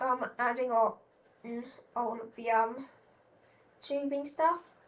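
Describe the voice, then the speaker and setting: Speaking at a very slow pace, a woman uses a high pitch and fairly even intonation. Her loudness swings widely. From Britain. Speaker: gaming youtuber. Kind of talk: gameplay commentary. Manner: hesitant, many fillers.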